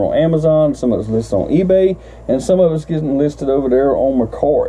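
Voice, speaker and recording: A man with an American accent at a fairly quick pace, amid noticeable background noise. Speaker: reseller vlogger. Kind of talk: casual vlog talk. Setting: shed. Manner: fast.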